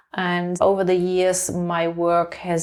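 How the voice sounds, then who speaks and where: The speaker talks with a German accent. The recording is very clean, with a silent background. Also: woman. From Germany. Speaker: leadership coach and author. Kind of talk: interview. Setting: her home.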